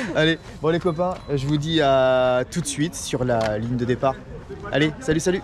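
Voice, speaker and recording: With noticeable background noise behind him, a man with a fairly high voice and ordinary pitch variation speaks at a moderate pace, his loudness very even and his pauses long and frequent. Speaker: amateur runner and video blogger. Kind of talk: casual vlog talk. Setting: outdoors at race start.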